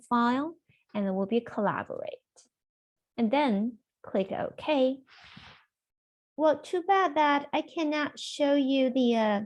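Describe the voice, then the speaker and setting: Against a quiet background, a woman talks at a very slow pace with very wide pitch swings and long, frequent pauses. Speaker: software trainer. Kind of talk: webinar tutorial. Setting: video call. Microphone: video call.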